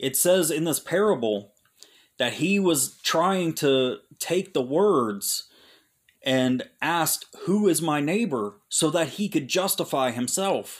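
The recording is very clean, with a silent background. A man with an unremarkable speaking voice talks at a fairly high pitch with lively intonation. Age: 30s. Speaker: Bible teacher. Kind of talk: Bible teaching monologue. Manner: casual, with filler words.

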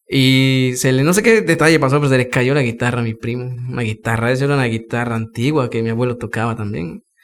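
The speech moves at a very fast pace with hardly any pauses and ordinary pitch variation. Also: man, medium pitch for a man. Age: 20s. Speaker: musician. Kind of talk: casual interview.

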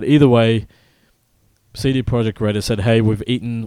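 A man's dark, mellow tone at a medium pitch with fairly even intonation, dry and close with no echo, on a very clean recording with a silent background. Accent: Australian. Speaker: video game podcast host. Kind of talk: casual chat.

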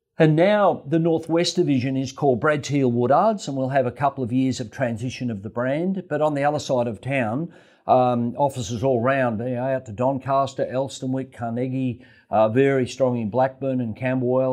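Against a quiet background, the speaker talks with an Australian accent. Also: man. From Australia, Melbourne (West Essendon). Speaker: real estate agent. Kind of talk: interview.

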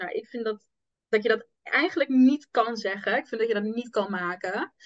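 Her pitch is fairly high. The woman has a plain, everyday voice. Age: 20s. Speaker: entrepreneur, manifestation coach. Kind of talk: casual interview chat.

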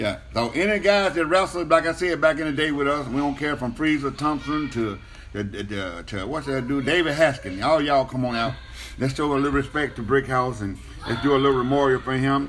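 Music plays in the background as a man talks at a fairly quick pace. His pitch varies in an ordinary way. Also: fairly high pitch for a man. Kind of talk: wrestling promo hyping a free live show, with a 'y'all come on down' call to the crowd. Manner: animated, hyped-up and rapid-fire, with buddy slang like 'baby' and 'brother'; fast, excitable, piling one attraction on another.

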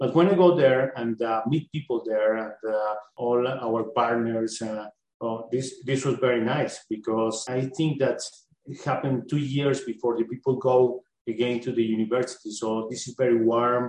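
A man speaks at a moderate pace with a Spanish accent. His medium pitch carries fairly even intonation. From Colombia. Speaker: exchange student. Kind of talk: panel discussion. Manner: halting, many fillers.

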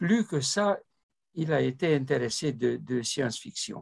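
The pace is very slow, and the intonation is lively. A man speaks at a fairly high pitch in a somewhat breathy voice. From Romania. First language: Romanian (speaking French). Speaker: ufologist and retired mathematician. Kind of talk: interview. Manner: halting.

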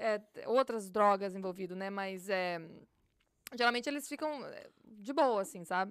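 At a fairly slow pace with long, frequent pauses, a woman speaks at a medium pitch with lively intonation. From Brazil, Minas Gerais (Galileia). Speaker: police officer. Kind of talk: casual interview.

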